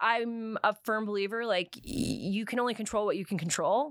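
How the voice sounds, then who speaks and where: A woman speaks with a Canadian accent at a moderate pace. Her pitch is fairly high. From Canada, New Brunswick. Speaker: professor. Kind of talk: interview.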